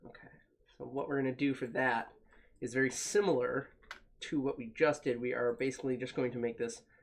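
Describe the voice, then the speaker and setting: Fairly quick in pace, a man speaks at a medium pitch. His intonation is fairly even. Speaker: foam cosplay maker. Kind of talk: live-stream tutorial.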